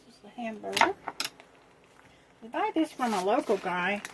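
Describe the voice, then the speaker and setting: A mumbling woman with a fairly high voice and lively intonation at a moderate pace, amid noticeable background noise. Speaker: cooking vlogger. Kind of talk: casual chat.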